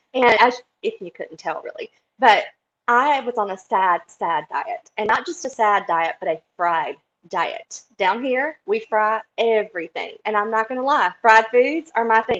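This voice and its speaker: A woman's animated, fairly high-pitched voice in a Southern US accent, at a fairly slow pace, dry and close with no echo. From US South, South Carolina. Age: 40s. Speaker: interviewee sharing health story. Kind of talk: interview testimony.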